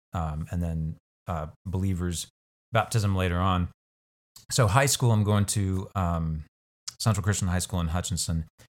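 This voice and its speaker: Using a Midwestern US accent, a man with a very deep, low pitch speaks with long, frequent pauses. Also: ordinary pitch variation, moderate pace, very clean recording, silent background. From Kansas, US. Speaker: bishop and college faculty member. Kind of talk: casual interview chat.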